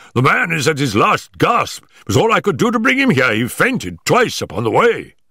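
A man's put-on character voice, fairly high-pitched, with very wide pitch swings, a bright, sharp tone and a slightly husky edge. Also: moderate pace.

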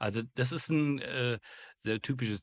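In a very clean recording with a silent background, a man speaks with ordinary pitch variation, the sound dry and close with no echo. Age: 50s. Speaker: burnout speaker, former insurance worker. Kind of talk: interview. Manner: hesitant, many fillers.

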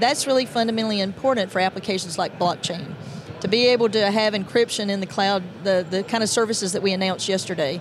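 Over noticeable background noise, a woman talks very fast with ordinary pitch variation, and the sound is dry with no echo. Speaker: guest. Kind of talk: interview answer. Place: hall. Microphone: handheld.

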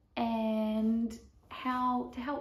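A woman speaks in a somewhat breathy, monotone voice with flat intonation, and audible room echo surrounds her. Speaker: barrel racer vlogger. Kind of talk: casual vlog chat. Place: home room. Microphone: camera far.

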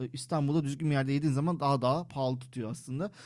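A man speaks with fairly even intonation and a fairly high pitch. He has a plain, everyday voice. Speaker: Turkish expat living in Malta. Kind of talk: casual chat.

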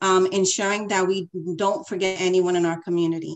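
With ordinary pitch variation and a moderate pace, a woman talks over a quiet background. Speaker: political candidate. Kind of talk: candidate debate. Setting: video call. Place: home room. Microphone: video call.

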